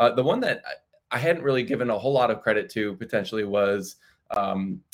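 With a normal speaking voice, a man talks at a fairly quick pace and a medium pitch, his intonation lively. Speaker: co-host investor. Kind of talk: casual live-streamed market discussion. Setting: live stream online.

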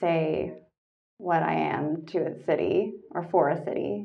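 A woman with a Canadian accent, fairly low pitch, vocal fry and lively intonation. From Canada, Toronto. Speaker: artist and art tech startup worker. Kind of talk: casual interview. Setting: podcast recording.

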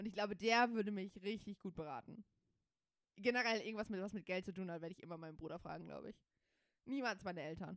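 Talking at a very fast pace yet with long, frequent pauses, a woman uses medium pitch, ordinary pitch variation and big swings in loudness. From Germany. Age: 20s. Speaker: podcast co-host. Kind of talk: casual chat.

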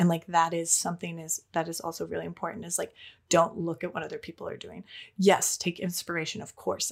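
A woman speaks in a normal speaking voice with an American accent, her pitch fairly low and her pace fairly quick. The recording is very clean, with a silent background. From Minnesota, US. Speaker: freelance artist. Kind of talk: interview.

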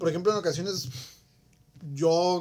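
A man's high-pitched voice at a moderate pace. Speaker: podcast co-host. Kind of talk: casual chat.

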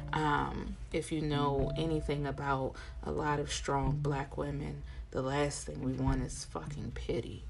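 Over music in the background, a woman speaks at a fairly slow pace with audible room echo. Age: 40s. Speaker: podcast host and tattoo artist. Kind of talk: casual monologue.

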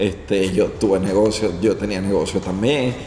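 A man speaks with a fairly low pitch and fairly even intonation. Audible room echo and noticeable background noise surround his voice. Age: 40s. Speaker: podcast host and barber. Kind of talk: interview.

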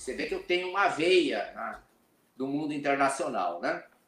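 A man speaks at a moderate pace with a high-pitched voice. His pitch varies in an ordinary way. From Rio Grande do Sul border region, Brazil. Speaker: business mentor, former glass industry executive. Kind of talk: interview.

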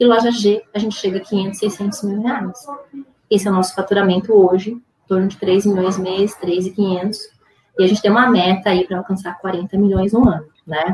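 This woman speaks with a Brazilian accent at a medium pitch. Her pace is moderate and her intonation fairly even. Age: 40s. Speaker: business founder and CEO. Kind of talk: interview conversation.

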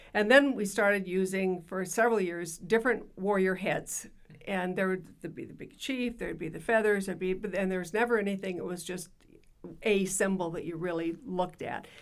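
A woman talks at a fairly quick pace with fairly even intonation. Her voice sits at a medium pitch. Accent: Upper Midwest. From South Dakota (Yankton). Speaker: retired school principal. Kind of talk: interview.

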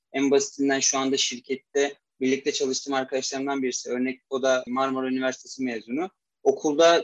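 This man talks at a fairly quick pace in a fairly high pitch with monotone, flat intonation, and the sound is dry and close with no echo. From Turkey, Istanbul. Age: 20s. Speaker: mechanical engineer. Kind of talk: interview.

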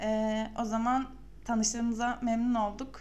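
A woman speaks in a fairly high, somewhat breathy voice. Audible room echo surrounds her. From Samsun, Turkey. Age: 20s. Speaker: podcast host, UX designer. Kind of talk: casual chat.

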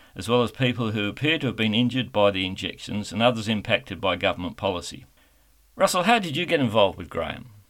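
A man with an Australian accent speaks at a very fast pace. His pitch is medium and his intonation lively. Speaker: radio host. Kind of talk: radio interview. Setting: online interview.

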